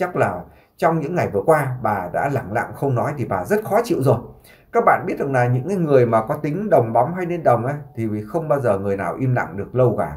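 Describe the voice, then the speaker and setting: Very fast and somewhat breathy, a man talks at medium pitch. His pitch swings very widely. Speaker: YouTube vlogger. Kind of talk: commentary monologue.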